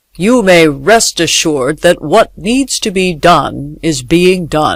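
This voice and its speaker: A man uses a put-on character voice pitched high. His intonation is lively and his pace fairly slow. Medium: read story.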